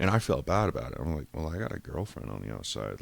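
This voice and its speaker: On a very clean recording with a silent background, a man with an American accent talks at a very fast pace in a very deep, low pitch with vocal fry and very wide pitch swings. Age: 30s. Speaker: podcaster. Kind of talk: personal monologue, life story. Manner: casual, profane, rambling speech.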